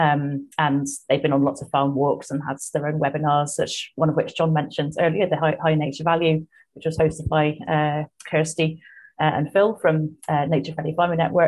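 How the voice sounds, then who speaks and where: At a moderate pace, a woman speaks in a very deep, low voice with flat, monotone intonation. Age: 40s. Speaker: market gardener. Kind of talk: casual chat. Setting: video call.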